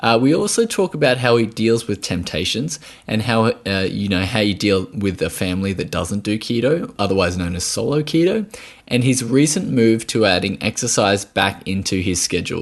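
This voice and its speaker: An Australian accent marks this man's fairly low-pitched voice. His intonation is lively, his pace moderate. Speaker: podcast host, nutritional therapist. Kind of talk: podcast interview.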